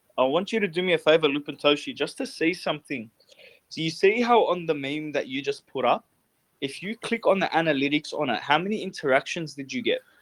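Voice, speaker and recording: In a dry, close recording with no echo, a man with an Australian accent talks at a very fast pace, his fairly high pitch moving in lively intonation. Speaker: podcast host. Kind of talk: casual chat. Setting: online voice chat room. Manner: energetic.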